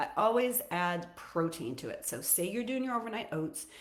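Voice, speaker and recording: The room echo is audible as a woman talks with lively intonation. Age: 60s. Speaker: fitness and nutrition coach. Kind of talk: casual livestream talk. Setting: social media live stream. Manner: loud.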